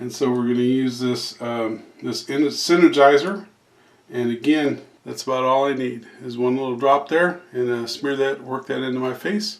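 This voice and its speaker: This man keeps a medium pitch with ordinary pitch variation while speaking at a moderate pace. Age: 50s. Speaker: YouTuber doing a product review. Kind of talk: casual tutorial-style product demo. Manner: hesitant, many fillers.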